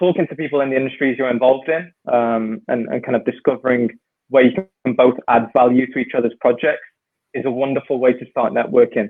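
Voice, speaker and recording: Speaking at a fairly quick pace with a British accent, the man keeps a medium pitch and fairly even intonation. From UK. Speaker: ex-professional footballer turned consultant. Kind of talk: casual interview chat. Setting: video call.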